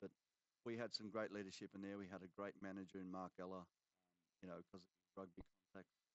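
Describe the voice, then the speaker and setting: A man with an Australian accent talks in a fairly low pitch. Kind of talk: live commentary; casual chat. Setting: commentary box. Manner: halting.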